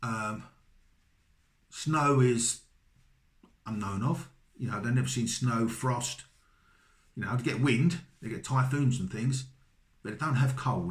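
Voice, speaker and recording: A man with a slight Cockney accent speaks at a medium pitch and a fairly slow pace, his voice somewhat breathy, with ordinary pitch variation and long, frequent pauses. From London, England. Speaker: vlogger, British husband of a Filipina. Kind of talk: casual advice monologue. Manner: hesitant, repeats words.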